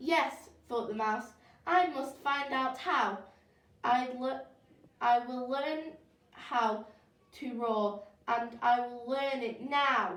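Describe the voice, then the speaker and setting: A woman puts on a squeaky, high-pitched character voice, speaking very slowly with ordinary pitch variation. An echo is audible. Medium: read story.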